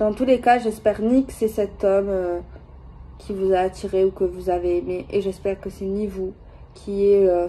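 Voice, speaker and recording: At a fairly slow pace, a woman speaks at a medium pitch. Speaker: tarot card reader. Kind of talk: tarot reading video. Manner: hesitant, many fillers; soft-spoken.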